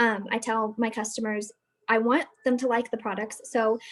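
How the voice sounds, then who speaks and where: A woman with an American accent and an unremarkable speaking voice talks at a fairly quick pace in a fairly high pitch, with fairly even intonation. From Arizona. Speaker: direct sales consultant. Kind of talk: training presentation. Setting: video call.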